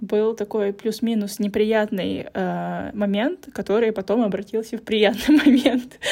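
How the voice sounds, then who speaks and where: Her delivery comes at a very slow pace. This woman has a dark, mellow tone. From Russia. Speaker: podcast host. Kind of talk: casual chat.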